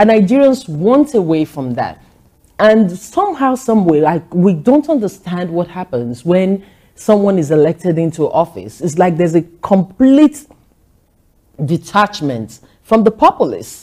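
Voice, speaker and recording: With a dark, mellow tone, a woman at medium pitch speaks at a fairly slow pace, her voice making very wide pitch swings. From Nigeria. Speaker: journalist and social commentator. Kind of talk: TV interview.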